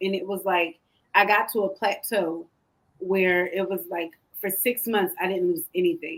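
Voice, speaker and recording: A woman with an American accent, medium-pitched, with an ordinary speaking voice, fairly even intonation and a moderate pace. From Philadelphia, US Northeast. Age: 30s. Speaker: pastor's wife and health coach. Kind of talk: talk show interview.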